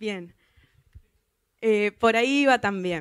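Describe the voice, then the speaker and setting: Nothing can be heard behind the woman as she speaks. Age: 20s. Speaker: software tester; conference speaker. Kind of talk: conference talk. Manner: halting, many fillers. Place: hall. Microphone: handheld.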